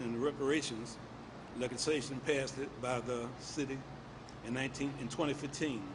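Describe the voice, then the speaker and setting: The voice moves at a moderate pace with fairly even intonation, and room echo is audible. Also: man. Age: 70s. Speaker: torture survivor, activist. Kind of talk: testimony, reading a statement. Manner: halting.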